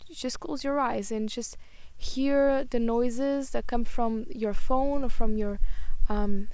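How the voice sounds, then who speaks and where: A woman with a Portuguese accent speaks very slowly in a high voice, her pitch varying in an ordinary way. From Portugal. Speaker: spiritual YouTuber. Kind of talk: casual vlog monologue. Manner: hesitant, many fillers.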